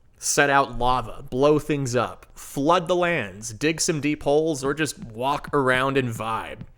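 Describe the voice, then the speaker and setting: On a very clean recording with a silent background, a man with a plain, everyday voice talks at a fairly slow pace with ordinary pitch variation. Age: 30s. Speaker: video game reviewer. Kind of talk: scripted review narration. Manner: casual.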